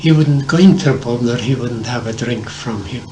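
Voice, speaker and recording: A man speaks with an Irish accent. Noticeable background noise sits behind him. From Ireland. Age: 80s+. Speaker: former Irish civil war fighter. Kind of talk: storytelling interview answer. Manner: hesitant, halting.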